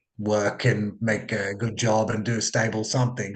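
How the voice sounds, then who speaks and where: A man talks at medium pitch. He speaks with a strong Australian accent. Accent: broad Australian. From Australia (immigrated from Sri Lanka at age two). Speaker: psychologist. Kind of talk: podcast interview. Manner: casual, with many fillers.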